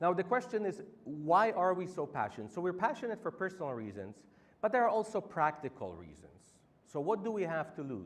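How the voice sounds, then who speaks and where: A man with a Polish accent, his pitch swinging very widely. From Poland. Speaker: campaign organizer. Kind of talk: public speech.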